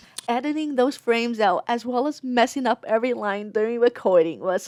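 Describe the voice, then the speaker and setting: A woman talks in a high pitch, keeping a moderate pace. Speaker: video essayist. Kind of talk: scripted narration.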